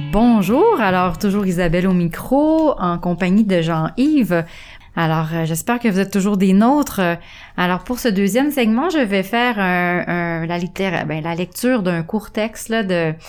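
A plain, everyday voice from a woman, medium in pitch, fairly slow in pace, with lively intonation. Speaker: radio host. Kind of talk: casual chat.

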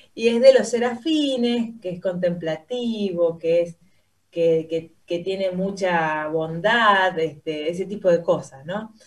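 A woman with a medium pitch talks very slowly, her pitch varying in an ordinary way. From Argentina, Santa Fe. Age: young. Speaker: pianist. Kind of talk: radio interview. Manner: hesitant, many fillers.

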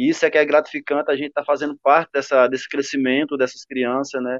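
A man talks very fast. The sound is dry and close with no echo, against a quiet background. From Ceará, Brazil (Cariús). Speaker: professional footballer. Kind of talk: interview.

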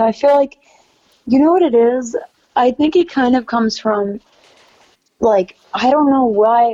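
A woman with an American accent speaks at a moderate pace, her pitch varying in the ordinary way. She has a normal speaking voice, recorded with a dry, close sound and no echo. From New York City. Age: 20s. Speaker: singer-songwriter. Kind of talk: casual chat.

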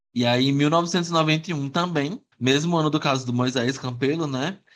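A man with a plain, everyday voice speaks at a fairly high pitch and a fairly slow pace, with ordinary pitch variation. The recording is very clean, with a silent background. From Piauí, Brazil (Teresina). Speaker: podcast host. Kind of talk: casual chat storytelling.

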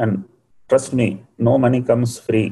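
Speaking at a moderate pace, a man with a Tamil accent uses a medium pitch and sounds somewhat breathy. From India, Tamil Nadu (Coimbatore). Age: 60s. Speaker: entrepreneur and scientist. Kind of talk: motivational talk in a webinar. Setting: online webinar.

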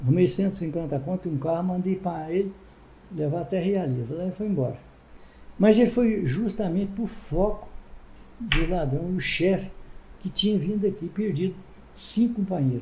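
A man speaks at a high pitch with a dark, mellow tone and ordinary pitch variation. His pace is moderate, broken by long, frequent pauses. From Ibatiba, Espírito Santo, Brazil. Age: 80s+. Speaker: former mayor and muleteer. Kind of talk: interview, storytelling.

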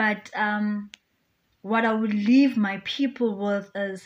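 A fairly high, somewhat breathy woman's voice with fairly even intonation. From South Africa, North West province. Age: 30s. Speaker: beauty pageant contestant and philanthropist. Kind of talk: radio interview.

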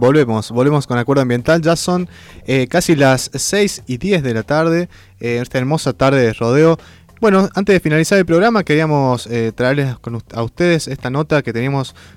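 A normal speaking voice with lively intonation moves at a moderate pace in a dry, close sound with no echo and a very clean recording with a silent background. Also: man. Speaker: community radio host. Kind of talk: casual radio chat.

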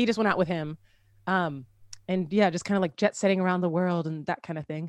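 A woman with an American accent and a plain, everyday voice speaks at a fairly low pitch with fairly even intonation, the recording very clean with a silent background and a dry, close sound with no echo. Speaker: singer-songwriter and content creator. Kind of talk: casual chat.

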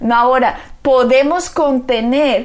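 A woman speaks in a high voice with a solemn, warm tone over noticeable background noise. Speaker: pastor. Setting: radio or TV program. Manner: earnest, fervent, solemn, declamatory; warm, emphatic, pastoral.

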